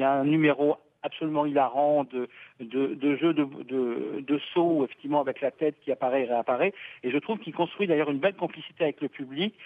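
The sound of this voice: The speech is fast, with ordinary pitch variation and a dry, close sound with no echo. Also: man, fairly high pitch for a man.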